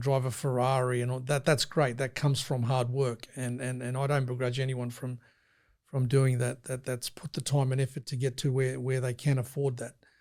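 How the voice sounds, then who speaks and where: On a very clean recording with a silent background, a man speaks at a moderate pace. His medium-pitched voice is monotone, with flat intonation. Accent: Australian. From Sydney, Australia (St George area), Serbian family. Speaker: freight company founder. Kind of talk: interview. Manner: loud; repeats words, fillers.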